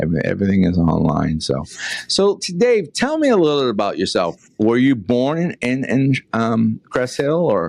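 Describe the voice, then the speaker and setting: A man with a Boston accent speaks at a moderate pace and a medium pitch. His pitch swings very widely. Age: 60s. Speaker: podcast host. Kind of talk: interview.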